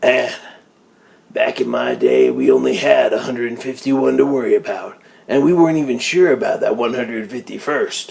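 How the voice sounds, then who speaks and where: A raspy, gruff put-on character voice at a moderate pace. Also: man. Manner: reminiscing, gruff.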